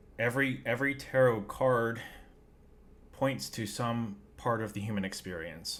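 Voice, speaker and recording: A man's fairly low voice at a moderate pace, with ordinary pitch variation and audible room echo. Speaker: spiritual YouTuber. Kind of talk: casual monologue. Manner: energetic.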